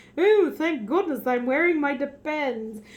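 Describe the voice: A woman puts on a character voice with a British accent. Her pitch runs high. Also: moderate pace.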